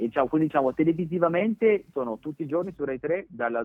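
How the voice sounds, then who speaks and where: A man at a very fast pace, with lively intonation. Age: 30s. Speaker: TV presenter. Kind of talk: interview. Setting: phone call.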